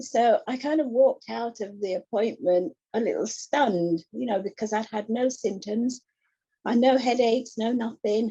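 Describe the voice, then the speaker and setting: Speaking at a moderate pace in an English accent, a woman has a dark, mellow tone and a fairly high pitch with ordinary variation. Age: 60s. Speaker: retired administrator and glaucoma patient. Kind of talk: personal testimony in an online support group.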